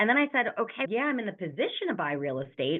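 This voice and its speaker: A woman with a medium-pitched voice speaks at a fairly quick pace. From New York. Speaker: real estate investor. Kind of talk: interview. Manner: fast.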